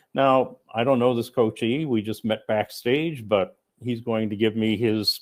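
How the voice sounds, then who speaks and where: An unremarkable speaking voice from a man at a fairly slow pace with ordinary pitch variation. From United States. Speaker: coach and author. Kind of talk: conference talk. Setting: remote presentation to conference audience.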